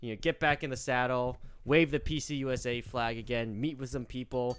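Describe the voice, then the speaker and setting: On a very clean recording with a silent background, a man with a normal speaking voice talks at medium pitch and a moderate pace with ordinary pitch variation. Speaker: podcast co-host, leftist organizer. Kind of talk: casual chat.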